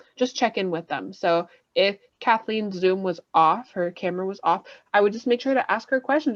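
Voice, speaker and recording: A woman with an ordinary speaking voice talks at a fairly quick pace. Her pitch varies in an ordinary way against a quiet background. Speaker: ESL teacher running a workshop. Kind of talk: workshop lecture over video call. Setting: video call. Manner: casual, filler-heavy.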